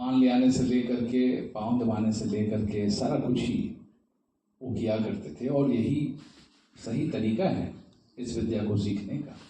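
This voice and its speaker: Speaking at a medium pitch, a man leaves long, frequent pauses, and audible room echo surrounds his voice. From India, Varanasi. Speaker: tabla player. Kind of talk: talk at a seminar. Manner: formal.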